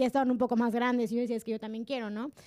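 A woman's high-pitched voice has a dark, mellow tone, captured in a very clean recording with a silent background and a dry, close sound with no echo. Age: 20s. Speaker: podcast co-host, communication student. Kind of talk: casual chat.

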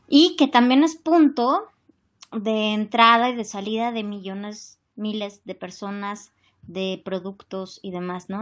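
Against a quiet background, an ordinary speaking voice proceeds at a fairly slow pace with ordinary pitch variation. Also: woman. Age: 40s. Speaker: actress. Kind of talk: interview.

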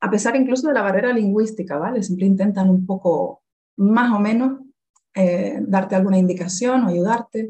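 A woman speaks at a moderate pace and a medium pitch with ordinary pitch variation. Her somewhat breathy voice has a dark, mellow tone and very even loudness. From Canary Islands, Las Palmas de Gran Canaria. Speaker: Spanish teacher. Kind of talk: casual interview conversation.

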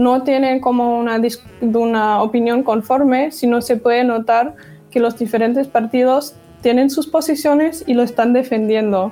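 Over music in the background, a woman with a German accent speaks at a high pitch with fairly even intonation. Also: moderate pace, very even loudness. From Germany, Dortmund. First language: German (speaking Spanish). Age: 20s. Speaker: communication student. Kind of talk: interview.

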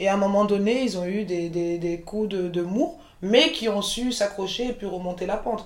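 A woman's medium-pitched voice at a moderate pace, with ordinary pitch variation, audible room echo and noticeable background noise. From France, Paris region (Montreuil), born in Côte d'Ivoire. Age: 40s. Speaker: chef and caterer, entrepreneur. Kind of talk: interview, casual chat.

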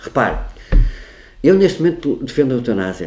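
A man is talking. His tone sounds dark and mellow. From Portugal, Porto. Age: 50s. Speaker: political researcher and party official. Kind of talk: interview conversation. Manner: talkative.

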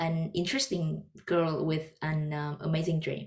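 In a Vietnamese accent, a woman speaks at a moderate pace. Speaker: podcast host. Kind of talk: casual interview chat.

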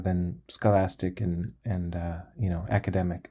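At a moderate pace, a voice with an American accent and a dark, mellow tone comes through a very clean recording with a silent background. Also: man. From US Midwest (Chicago). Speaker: musician. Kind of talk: interview. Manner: halting.

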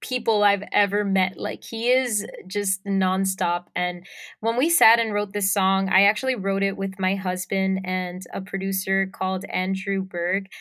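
Speaking in a strong Puerto Rican accent, a woman keeps a medium pitch and fairly even intonation. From Puerto Rico. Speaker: singer-songwriter. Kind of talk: interview.

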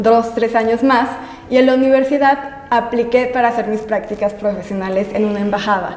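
The speech moves at a fairly quick pace with ordinary pitch variation. Noticeable background noise runs underneath. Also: woman. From Aguascalientes, central Mexico. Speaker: travel photographer. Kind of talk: interview.

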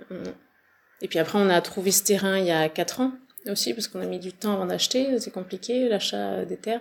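This woman's voice sits at a medium pitch. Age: 40s. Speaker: farmer. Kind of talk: interview. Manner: halting.

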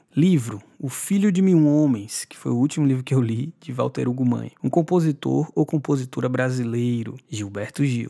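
The dark, mellow tone of a man's voice carries ordinary pitch variation. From Brazil, Bahia (Salvador). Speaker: singer-songwriter. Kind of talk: interview.

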